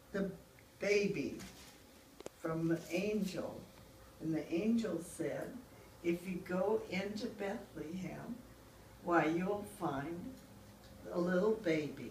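A woman speaks at a medium pitch with ordinary pitch variation and a very slow pace. Long, frequent pauses break her speech, and background noise is noticeable. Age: 80s+. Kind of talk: storytelling to family. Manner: slow, hesitant.

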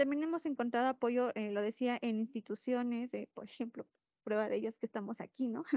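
A woman's high voice at a fairly quick pace, with fairly even intonation, a quiet background and a dry sound with no echo. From Mexico, Puebla. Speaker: activist searching for disappeared relatives; panelist. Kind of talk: panel discussion. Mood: earnest, emotional subject. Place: classroom. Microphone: handheld.

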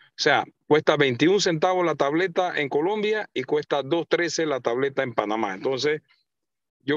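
In a dry sound with no echo and a quiet background, a man speaks at a fairly slow pace, his fairly high pitch showing ordinary variation. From Panama. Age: 40s. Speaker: mayor. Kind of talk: radio interview. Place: car.

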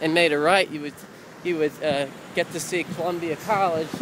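In a dry recording with no echo and light background noise, a man with a high voice speaks in a relaxed tone with fairly even intonation. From US Midwest, Missouri. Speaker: amateur video maker giving a city tour. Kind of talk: informal walking-tour narration to a friend, pointing out landmarks on camera. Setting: outdoors on city streets, handheld camera, traffic noise. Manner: rambling and hesitant, lots of uh and um fillers and self-corrections; friendly, relaxed, slightly raised over traffic noise. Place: street. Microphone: phone near.

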